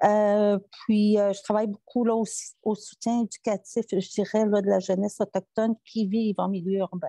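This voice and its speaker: A woman talks in a monotone, flat intonation with a dark, mellow tone. The sound is dry and close with no echo, over a quiet background. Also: medium pitch for a woman, moderate pace. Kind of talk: conference talk. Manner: halting, many hesitations.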